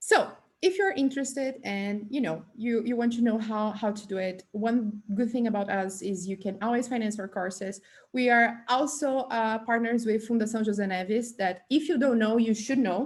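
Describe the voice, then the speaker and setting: A woman's fairly high, somewhat breathy voice with ordinary pitch variation. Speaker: tech bootcamp presenter. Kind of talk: online presentation. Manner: fast.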